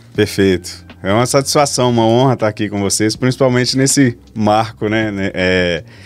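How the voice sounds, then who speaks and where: A fairly low-pitched man with a Minas Gerais accent at a fairly slow pace. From Brazil, Minas Gerais. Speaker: machining consultant and trainer; trainer. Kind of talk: podcast interview. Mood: friendly, relaxed. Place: studio. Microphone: studio mic.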